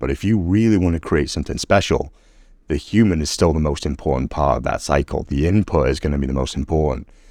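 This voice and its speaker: Someone with an American accent speaks with vocal fry and ordinary pitch variation in a very clean recording with a silent background. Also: man. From Oldham, Manchester, England, later lived in Milwaukee, US. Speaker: graphic designer and AI expert. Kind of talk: casual interview explanation.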